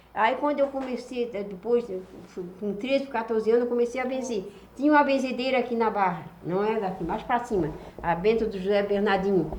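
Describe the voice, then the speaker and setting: A woman talks at a fairly quick pace and a fairly high pitch, with ordinary pitch variation. Noticeable background noise and audible room echo are present. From Florianópolis, Santa Catarina, southern Brazil. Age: 70s. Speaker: traditional folk healer. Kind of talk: life story interview.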